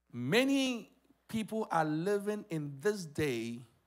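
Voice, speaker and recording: A quiet background behind a man's voice. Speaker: pastor. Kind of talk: sermon. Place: church. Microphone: handheld.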